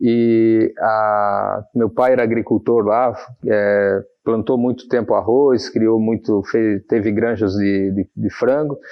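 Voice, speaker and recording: At a very slow pace, a man speaks in a monotone, flat way at a medium pitch, his loudness very even. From Santa Catarina, Brazil (Pouso Redondo, then Navegantes from age 12). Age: 40s. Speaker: mayor-elect, businessman. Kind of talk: TV interview.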